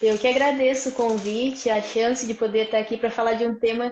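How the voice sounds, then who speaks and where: A woman speaks at a moderate pace in a fairly high voice. Her intonation is monotone and flat. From Brazil, Vale do Paraíba (São Paulo state). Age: 20s. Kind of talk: testimony. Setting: live stream.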